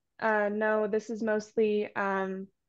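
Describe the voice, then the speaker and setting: The background stays quiet as a woman talks with an American accent. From Washington state. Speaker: undergraduate student presenter. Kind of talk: conference presentation.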